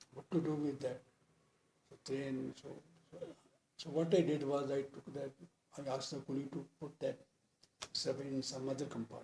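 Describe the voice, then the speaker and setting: A man with a fairly high, somewhat breathy voice and a dark, mellow tone speaks at a moderate pace in a monotone, flat intonation. His loudness swings widely, and he leaves long, frequent pauses. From Punjab. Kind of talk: interview answer.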